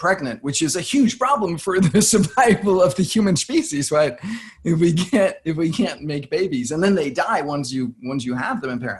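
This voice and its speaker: A man with an American accent speaks in an ordinary speaking voice at a fairly quick pace with lively intonation. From born outside the USA. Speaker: podcast host. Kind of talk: casual interview talk.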